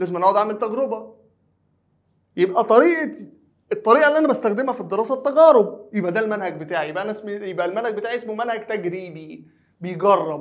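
A man's high-pitched, very fast voice with lively intonation over a quiet background. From Egypt. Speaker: high school teacher. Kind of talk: lecture. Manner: conversational, asks and answers own questions. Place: studio.

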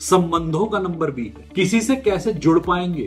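Over faint music in the background, a man speaks at a very slow pace. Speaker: numerology teacher. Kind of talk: lecture.

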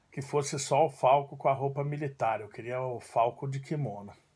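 A man speaks at a fairly slow pace in a fairly high, somewhat breathy voice. The background is quiet. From Brazil, São Paulo (childhood in southern Brazil). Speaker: judo teacher. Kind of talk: personal storytelling monologue; casual vlog chat, personal story. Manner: casual, with filler words. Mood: warm, nostalgic. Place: home room. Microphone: phone near.

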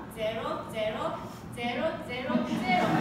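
The speaker has a Japanese accent. Loud background noise and audible room echo surround the voice. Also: woman. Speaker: public speaker. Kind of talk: prepared public speech. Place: classroom. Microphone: camera far.

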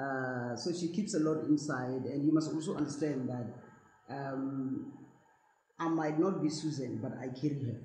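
A woman's very deep, low voice at a moderate pace, with ordinary pitch variation, audible room echo and light background noise. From South Africa. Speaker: actress. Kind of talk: interview. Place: home room.

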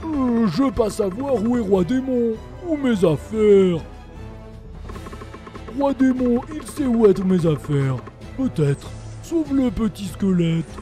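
Over clear background music, a put-on character voice speaks fairly slowly at fairly high pitch. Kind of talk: broken, simple French.

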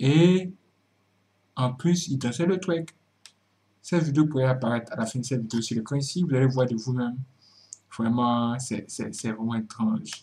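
A man's somewhat breathy voice, dark and mellow, at medium pitch and a moderate pace, with ordinary pitch variation and long, frequent pauses. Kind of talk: commentary talk to camera.

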